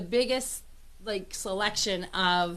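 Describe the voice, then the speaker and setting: Ordinary rise and fall of pitch from a woman, with clear echo from the room. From Pittsburgh, Pennsylvania, US. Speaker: talk show host and business owner. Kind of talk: casual interview chat. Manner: animated.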